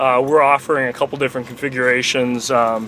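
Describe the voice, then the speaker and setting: A man speaks in a monotone, flat intonation. The sound is dry with no echo, over light background noise. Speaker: truck sales or product rep. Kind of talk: product explanation while driving. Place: car. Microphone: phone near.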